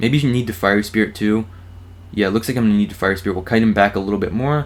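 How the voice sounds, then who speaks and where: This man has a fairly low pitch and a strong American accent, with ordinary pitch variation. The recording is very clean, with a silent background. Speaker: gaming YouTuber. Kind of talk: live gameplay commentary. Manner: animated.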